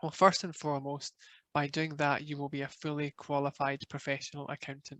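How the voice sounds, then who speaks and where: At a moderate pace, a man with a Glaswegian accent speaks at a fairly high pitch in a monotone, flat intonation. Behind him the background is quiet. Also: dry, close sound with no echo. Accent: Scottish, Glaswegian. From Scotland, Glasgow. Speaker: professional body manager. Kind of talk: webinar presentation.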